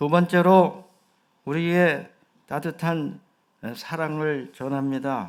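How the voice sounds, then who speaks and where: Speaking at a very slow pace, a man uses a fairly high pitch with ordinary variation. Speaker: senior pastor. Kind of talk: sermon. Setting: church.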